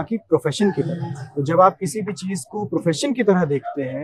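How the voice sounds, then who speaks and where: The recording of this man sounds dry and close, without any echo. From India, Rewa, Madhya Pradesh. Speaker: actor. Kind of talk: interview.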